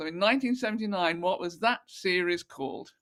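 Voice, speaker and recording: A woman with an unremarkable speaking voice, lively intonation and a fairly quick pace. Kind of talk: quiz question reading and casual chat.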